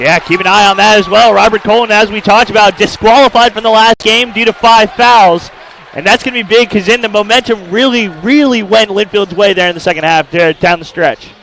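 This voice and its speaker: Through noticeable background noise, a man with a high voice speaks at a fairly quick pace with ordinary pitch variation and hardly any pauses. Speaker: color commentator analyst. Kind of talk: basketball color commentary.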